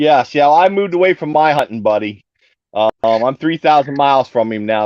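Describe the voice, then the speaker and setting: Using a plain, everyday voice, a man talks at a medium pitch and a fairly quick pace. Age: 60s. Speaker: caller on livestream. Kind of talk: casual chat.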